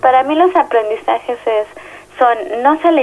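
A woman at a high pitch with ordinary pitch variation and a moderate pace, amid noticeable background noise. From Mexico City. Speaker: social psychologist. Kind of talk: interview. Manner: halting.

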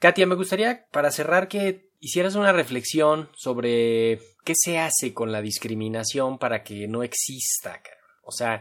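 Speaking at a fairly slow pace with hardly any pauses, a man with a fairly high pitch shows very wide pitch swings and big swings in loudness. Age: young. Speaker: radio host. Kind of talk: interview.

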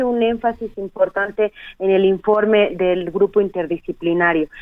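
Here is a woman with an ordinary speaking voice at a medium pitch. She keeps a moderate pace and fairly even intonation. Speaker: human rights lawyer. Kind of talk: radio interview.

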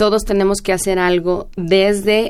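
Here is a woman at a medium pitch. Her intonation stays flat and monotone. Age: 30s. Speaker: law researcher and bioethicist. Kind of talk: radio interview.

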